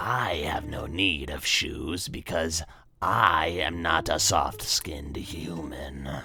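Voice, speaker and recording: A raspy, put-on character voice with a very deep, low pitch moves at a very slow pace. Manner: curt, formal.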